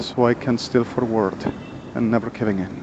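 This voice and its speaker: There is a man with a Spanish accent and a medium pitch. He keeps a moderate pace over noticeable background noise. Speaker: vlogger. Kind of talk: personal monologue. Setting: outdoors on a street. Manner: halting.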